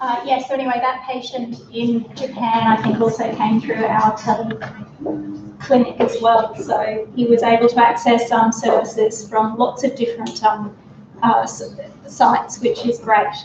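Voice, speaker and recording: This woman talks at a moderate pace with an Australian accent, her pitch fairly high and her intonation monotone and flat. The room echoes audibly, and there is noticeable background noise. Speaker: speech pathologist and researcher. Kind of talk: conference talk. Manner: raised voice, shouting to be heard. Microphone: microphone battery failing, speaking without mic.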